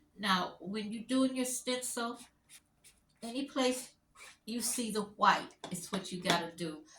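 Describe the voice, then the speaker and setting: Bright and sharp in tone, a woman talks at a fairly high pitch and fairly slow pace, with ordinary pitch variation and long, frequent pauses. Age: 60s. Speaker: crafter and stencil designer. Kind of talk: live craft tutorial. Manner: casual, chatty.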